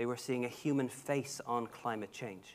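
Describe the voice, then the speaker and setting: A man with a Dublin accent speaks at a moderate pace and a medium pitch, recorded very cleanly against a silent background. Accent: Dublin Irish. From Ireland, Dublin. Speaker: heritage expert, archaeologist. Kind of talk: conference panel talk. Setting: conference stage with audience.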